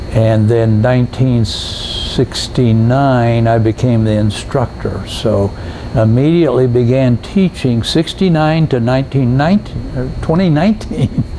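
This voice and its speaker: A man's medium-pitched voice with ordinary pitch variation, very even loudness and hardly any pauses, over noticeable background noise. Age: 80s+. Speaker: scuba instructor. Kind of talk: interview. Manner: halting.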